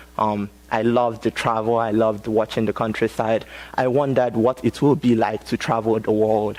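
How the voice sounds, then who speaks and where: Speaking at a moderate pace with a Nigerian accent, a man keeps a medium pitch and a monotone, flat intonation. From Nigeria, Nnewi. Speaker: college student speaker. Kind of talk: TEDx talk. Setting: stage with audience. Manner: halting, many fillers.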